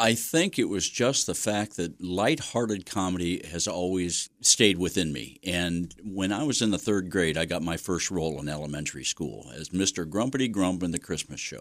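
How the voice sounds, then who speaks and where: A man with an American accent talks at a moderate pace. His very deep, low voice carries lively intonation. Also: very clean recording, silent background. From US Midwest, Mansfield, Ohio. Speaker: community theatre director. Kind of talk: interview. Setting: studio.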